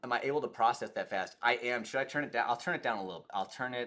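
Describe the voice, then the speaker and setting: A man speaks at a fairly quick pace. His tone is bright and sharp. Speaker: political streamer. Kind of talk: live stream commentary and chat. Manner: fast; animated.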